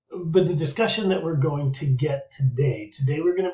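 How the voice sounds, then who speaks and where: Somewhat breathy and fairly high-pitched, a man speaks with an American accent and ordinary pitch variation. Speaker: history teacher. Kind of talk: lecture. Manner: fast.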